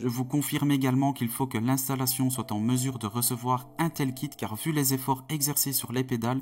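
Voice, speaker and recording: A man with a Belgian accent speaks at medium pitch and a moderate pace, sounding somewhat breathy. The recording is very clean, with a silent background. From Belgium. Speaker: sim racing youtuber. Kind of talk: product review.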